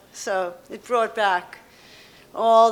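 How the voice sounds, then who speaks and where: This woman's voice is fairly high. Audible room echo is present in the recording. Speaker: poet. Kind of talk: poetry reading introduction. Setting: stage with audience. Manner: loud.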